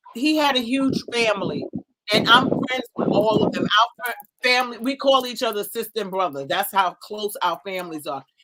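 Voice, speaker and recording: A woman with an American accent speaks in a fairly high pitch, using an ordinary speaking voice. Her intonation is lively and her pace is moderate. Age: 60s. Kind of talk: casual chat.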